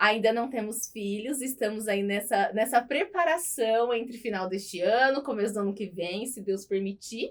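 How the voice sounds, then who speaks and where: A woman speaks at a moderate pace in an ordinary speaking voice, fairly high-pitched with ordinary pitch variation and hardly any pauses. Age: 30s. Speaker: beauty clinic owner, lash designer. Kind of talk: podcast interview.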